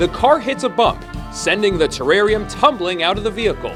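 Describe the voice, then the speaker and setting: A man's high-pitched voice at a moderate pace, with very wide pitch swings and music in the background. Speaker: voice actor. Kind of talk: movie recap narration.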